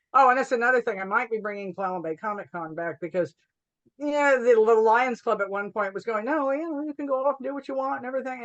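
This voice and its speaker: Very fast speech with lively intonation. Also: woman. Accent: American. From Washington state, USA. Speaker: comic book author and cartoonist. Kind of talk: oral history interview answer. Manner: casual, humorous.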